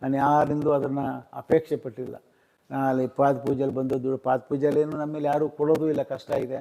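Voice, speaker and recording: His voice has a dark, mellow tone and a fairly high pitch for a man, delivered in a monotone, flat intonation. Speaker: religious leader and former politician. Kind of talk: interview. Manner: halting.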